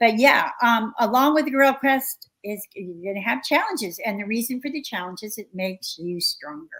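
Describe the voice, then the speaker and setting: Using an unremarkable speaking voice, a woman talks at a moderate pace with a fairly high pitch and lively intonation. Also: big swings in loudness. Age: 60s. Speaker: researcher and author. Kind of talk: interview conversation.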